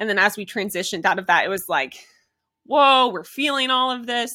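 With a bright, sharp tone and ordinary pitch variation, a woman speaks at a fairly quick pace on a very clean recording with a silent background. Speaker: podcast host and elite marathon runner. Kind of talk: solo podcast monologue.

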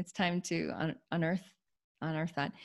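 A woman's monotone, flat voice with vocal fry, on a very clean recording against a silent background. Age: 40s. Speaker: entrepreneur and yoga health coach. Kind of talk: interview. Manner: halting, many repetitions.

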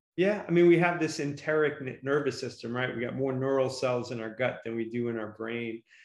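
Amid audible room echo, a man talks at a fairly quick pace with ordinary pitch variation. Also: medium pitch for a man. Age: 50s. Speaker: podcast host. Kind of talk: interview.

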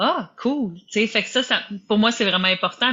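The pace is moderate, and the pitch varies in an ordinary way. It is a normal speaking voice. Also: woman. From Quebec. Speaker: podcast host, business and life coach. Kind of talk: casual interview.

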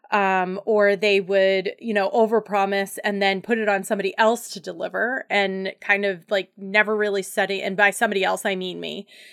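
Monotone, flat intonation at a moderate pace with hardly any pauses, on a very clean recording with a silent background. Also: woman, medium pitch for a woman. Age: 40s. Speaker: life coach and podcast host. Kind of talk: solo podcast monologue.

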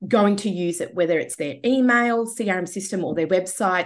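This woman's intonation is lively, and the background is quiet. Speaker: IT business owner. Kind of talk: interview. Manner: halting.

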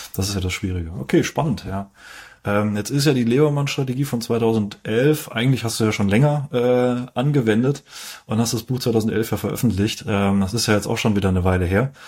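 An ordinary speaking voice moves at a fairly quick pace with ordinary pitch variation in a very clean recording with a silent background. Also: man, medium pitch for a man. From Heidelberg area, southwest Germany. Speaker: finance video host. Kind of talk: interview.

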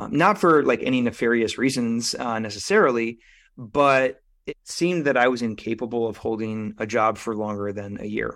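A man's ordinary speaking voice at a medium pitch, with ordinary pitch variation, a moderate pace and a very clean recording over a silent background. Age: 30s. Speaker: men's transformation coach and author. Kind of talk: casual interview chat.

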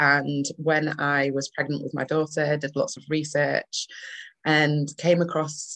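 The speaker has a northern English accent and keeps a moderate pace. The sound is dry and close, with no echo. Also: woman. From Manchester, northern England. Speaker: doula. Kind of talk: casual interview chat.

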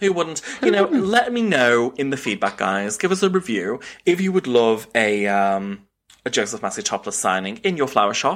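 A man with a British accent moves through very wide pitch swings. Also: medium pitch for a man, moderate pace. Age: 30s. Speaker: florist and podcast co-host. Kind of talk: casual chat.

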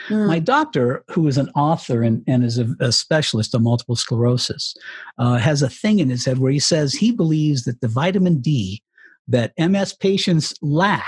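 A somewhat breathy, fairly high male voice at a moderate pace, with lively intonation, very even loudness, and a dry, close sound with no echo. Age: 60s. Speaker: retired radio broadcaster and author. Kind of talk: interview.

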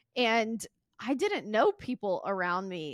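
This is a very clean recording with a silent background. The sound is dry and close, with no echo. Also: woman. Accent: Southern US. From US South, Mississippi. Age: 30s. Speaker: podcast host and entrepreneur. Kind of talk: casual interview chat.

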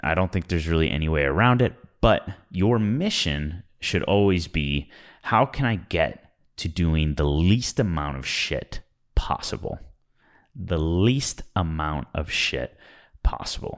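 In a very clean recording with a silent background, a man with a very deep, low voice speaks at a fairly slow pace using lively intonation. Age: 20s. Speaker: business coach and podcast host. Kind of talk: solo podcast monologue. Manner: casual, with filler words and repetitions.

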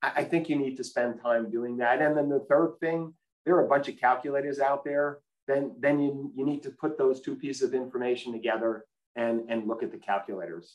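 An unremarkable speaking voice, this man's fairly high pitch carries an American accent and ordinary pitch variation at a fairly quick pace. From US East Coast. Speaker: health insurance executive. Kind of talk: interview.

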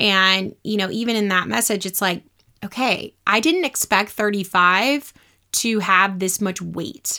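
Speaking at a fairly slow pace, a woman has a medium pitch, ordinary pitch variation and a bright, sharp tone. The recording is very clean, with a silent background. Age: 30s. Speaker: podcast host and mindset and business coach. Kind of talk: casual monologue.

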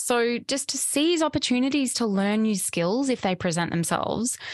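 A woman speaks fairly slowly at a fairly high pitch with lively intonation. The sound is dry and close with no echo over a quiet background. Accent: Australian. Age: 30s. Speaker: podcast host, psychotherapist and embodiment coach. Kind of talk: reflective solo monologue. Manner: warm, frequent laughter.

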